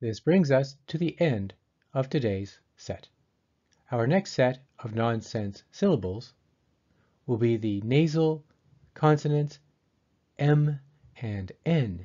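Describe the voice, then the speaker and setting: Somewhat breathy and medium in pitch, a man with an American accent talks at a very slow pace, with lively intonation and long, frequent pauses. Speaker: pronunciation teacher. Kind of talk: tutorial. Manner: clear articulation.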